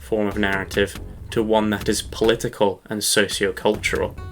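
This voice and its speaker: Bright and sharp in tone, a man speaks at a moderate pace with a fairly low pitch and fairly even intonation. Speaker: video essayist. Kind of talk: scripted narration. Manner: soft-spoken. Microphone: poor audio quality, new to using a microphone.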